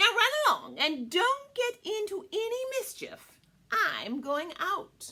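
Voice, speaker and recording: Slowing to a fairly slow pace, a woman performs a put-on character voice pitched extremely high. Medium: read story.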